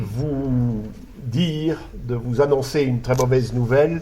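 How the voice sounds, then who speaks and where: Over noticeable background noise and with audible room echo, a man speaks fairly slowly at medium pitch with fairly even intonation. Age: 60s. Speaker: conference speaker. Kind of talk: lecture. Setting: conference hall with audience. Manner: halting, frequent hesitations.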